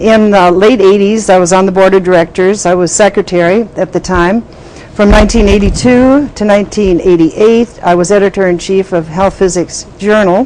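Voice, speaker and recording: A woman speaks at a medium pitch with a very even loudness and fairly even intonation, in an Upper Midwest accent. Noticeable background noise sits behind her. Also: moderate pace. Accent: Upper Midwest American. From southern Minnesota. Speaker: health physicist, former society president. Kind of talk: oral history interview. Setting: recorded interview at annual meeting. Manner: hesitant with fillers.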